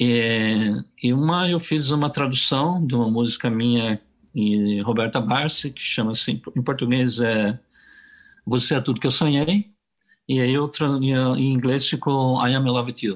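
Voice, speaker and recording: An unremarkable speaking voice from a man, medium in pitch, with ordinary pitch variation and a fairly slow pace. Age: 60s. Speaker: singer-songwriter. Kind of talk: casual interview.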